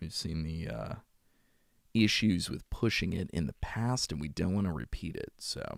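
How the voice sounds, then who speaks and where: Vocal fry at a moderate pace, with very wide pitch swings. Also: man. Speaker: audiobook narrator streaming live. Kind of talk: casual chat with stream viewers. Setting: live stream. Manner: warm, friendly.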